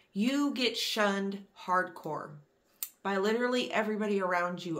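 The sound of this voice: Her American accent comes through as a woman speaks with medium pitch, ordinary pitch variation and a fairly bright tone.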